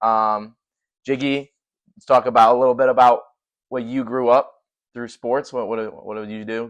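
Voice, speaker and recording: A man with an American accent at a medium pitch and moderate pace, with monotone, flat intonation, big swings in loudness and long, frequent pauses. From US Midwest, Cleveland area, Ohio. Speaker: podcast host. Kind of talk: casual chat.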